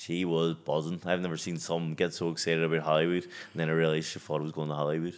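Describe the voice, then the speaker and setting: In a very clean recording with a silent background, a man with a Belfast accent talks at a very fast pace with hardly any pauses, his very deep, low voice delivered in a flat monotone. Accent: West Belfast. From West Belfast, Northern Ireland. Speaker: professional boxer. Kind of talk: casual chat. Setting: studio.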